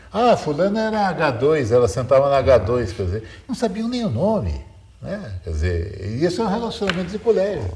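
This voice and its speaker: A man talks at a fairly quick pace in a fairly high pitch, his voice swinging very widely up and down, with noticeable background noise and audible room echo. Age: 60s. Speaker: TV commentator. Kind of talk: panel discussion. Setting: studio.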